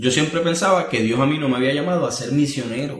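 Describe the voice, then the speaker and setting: With audible room echo and noticeable background noise, a man speaks at a fairly quick pace in fairly even intonation. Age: 30s. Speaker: missionary leader and preacher. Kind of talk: interview conversation.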